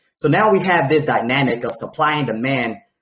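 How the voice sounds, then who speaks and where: A man's voice with lively intonation. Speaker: crypto project presenter. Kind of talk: presentation on a group call. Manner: fast.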